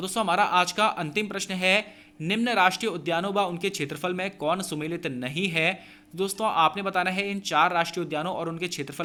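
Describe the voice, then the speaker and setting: Bright and sharp in tone, a man talks at a moderate pace with a high pitch. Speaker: exam coaching teacher. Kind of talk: tutorial.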